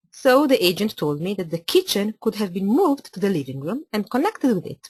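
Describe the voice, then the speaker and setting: The voice carries an Italian accent and sounds somewhat breathy. It moves at a moderate pace with very wide pitch swings. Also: woman. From Italy (Milan). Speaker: architect. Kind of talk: webinar presentation. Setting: online webinar.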